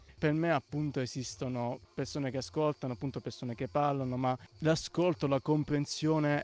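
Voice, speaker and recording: Here a man speaks at a medium pitch with ordinary pitch variation. His pace is fairly quick. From Apulia, Ostuni. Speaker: community radio interviewer. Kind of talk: casual interview.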